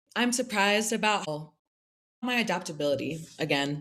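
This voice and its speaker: With an American accent, a woman speaks in an ordinary speaking voice at a medium pitch, her intonation lively. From Pennsylvania, US (near Philadelphia). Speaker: recent graduate, Fulbright grantee. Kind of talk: interview.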